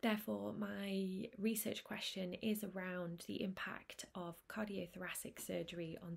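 Her voice is somewhat breathy, and this woman keeps to a monotone, flat intonation. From Manchester, northern England; northern England. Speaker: speech and language therapist. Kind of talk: prepared presentation. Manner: hesitant, frequent um fillers. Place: home room. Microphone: webcam.

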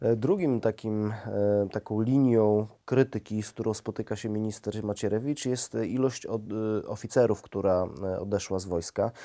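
A man speaks in a normal speaking voice at a fairly low pitch with fairly even intonation. His pace is moderate and the background quiet. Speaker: interviewer. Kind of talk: interview questions. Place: studio. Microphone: lapel.

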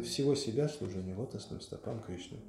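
Moderate pace over noticeable background noise. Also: man. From former Soviet Union. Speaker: spiritual lecturer. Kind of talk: lecture. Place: church.

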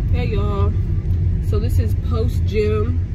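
Loud background noise accompanies a woman who speaks very slowly, her voice dry with no echo. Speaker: vlogger. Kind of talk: casual vlog chat. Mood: mildly upset after gym. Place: car. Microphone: phone near.

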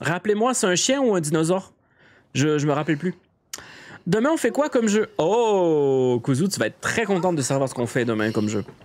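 This man's voice sits high in pitch. It swings very widely up and down. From Quebec. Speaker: video game streamer. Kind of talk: casual live stream chat; casual stream chat. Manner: animated, hesitant with many fillers.

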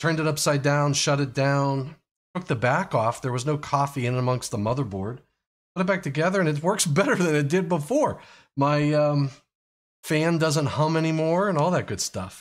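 The man speaks at a moderate pace, with ordinary variation in his pitch. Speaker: live stream host. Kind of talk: casual live stream chat. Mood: relaxed, joking.

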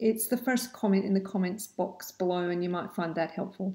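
A woman speaks with a dark, mellow tone that is somewhat breathy. Her pitch varies in an ordinary way against a quiet background. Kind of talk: casual advice vlog. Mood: friendly, calm. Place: home room. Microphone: webcam.

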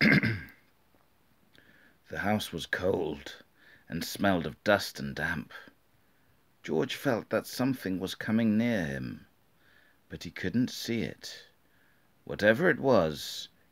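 Speaking at a very slow pace with long, frequent pauses, a man with a British accent uses a fairly low voice with vocal fry and lively intonation over a quiet background. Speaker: storybook reader. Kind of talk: children's book reading. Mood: calm, spooky story tone. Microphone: phone near.

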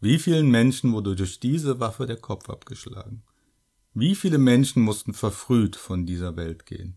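On a very clean recording with a silent background, a man with a medium pitch and a dark, mellow tone speaks with lively intonation. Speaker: shopkeeper character narrator. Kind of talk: scripted horror shopkeeper monologue, creepy storytelling addressed to the listener. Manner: smooth, sinister politeness, slow and theatrical, with mock-friendly menace.

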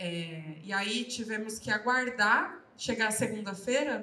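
A woman with ordinary pitch variation. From Brazil, Guarulhos (São Paulo); São Paulo, Brazil. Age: 20s. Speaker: politician and activist; politician. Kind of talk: panel talk at book launch. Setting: live event with audience. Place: hall. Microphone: handheld.

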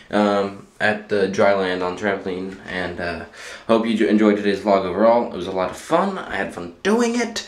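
In a room with audible echo, a man talks at a moderate pace with a fairly low pitch and monotone, flat intonation. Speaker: vlogger. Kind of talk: casual vlog chat. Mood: relaxed, end of day. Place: bathroom. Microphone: phone near.

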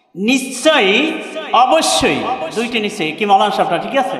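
A man's extremely high-pitched voice carries audible room echo along with light background noise. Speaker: Islamic preacher and Quran reciter. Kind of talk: waz mahfil sermon to a live audience. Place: stage. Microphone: handheld.

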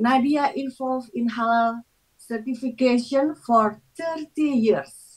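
A woman's high-pitched voice with an Indonesian accent, at a very slow pace, with ordinary pitch variation and a quiet background. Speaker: session moderator, academic. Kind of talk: formal moderation. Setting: video call. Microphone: video call.

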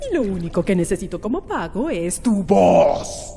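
A woman performs a put-on character voice. Clear background noise sits behind her. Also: moderate pace. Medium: dub.

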